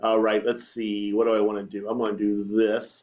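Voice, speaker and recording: Against a quiet background, a man with a plain, everyday voice talks at a fairly quick pace. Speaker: teacher. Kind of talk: tutorial. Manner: casual, conversational.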